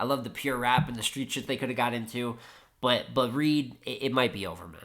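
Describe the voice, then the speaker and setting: This man sounds animated, with vocal fry and a medium pitch, moving at a fairly quick pace. His loudness swings widely while his pitch varies in an ordinary way. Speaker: battle rap reviewer. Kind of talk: casual commentary recap. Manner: fast.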